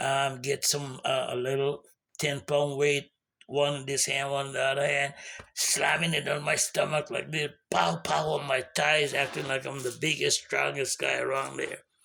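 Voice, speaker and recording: This man's fairly high voice has a bright, sharp tone and vocal fry, with fairly even intonation at a moderate pace. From Guyana. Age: 70s. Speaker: vlogger giving life advice. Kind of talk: casual inspirational monologue. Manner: casual, with fillers and repetitions.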